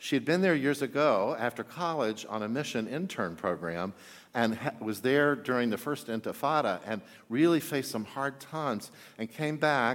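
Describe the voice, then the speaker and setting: On a very clean recording with a silent background, a man speaks in an ordinary speaking voice at a medium pitch and moderate pace with lively intonation. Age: 50s. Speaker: pastor. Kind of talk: sermon.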